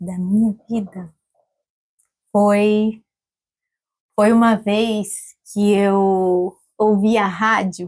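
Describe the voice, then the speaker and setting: A woman at a medium pitch talks very slowly in a monotone, flat way with long, frequent pauses. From Brazil. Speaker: entrepreneur. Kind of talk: interview.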